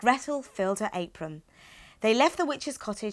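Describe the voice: The intonation rises and falls in a lively way. Underneath it is plain reading aloud.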